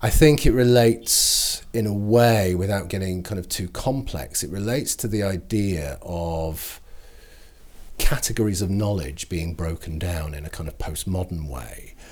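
On a very clean recording with a silent background, a man speaks in a northern English accent. His fairly low voice moves at a moderate pace with lively intonation. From northern England. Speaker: cultural history lecturer. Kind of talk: interview. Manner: halting, frequent repetitions.

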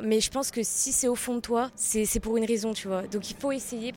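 At a moderate pace, a woman speaks in a normal speaking voice, fairly high in pitch with fairly even intonation. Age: young. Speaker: drama student. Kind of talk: interview.

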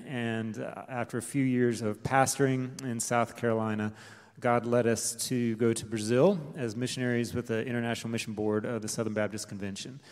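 Speaking with an American accent, a man uses a normal speaking voice at a fairly quick pace with hardly any pauses, a medium pitch and fairly even intonation. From Delaware, US. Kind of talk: testimony. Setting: church.

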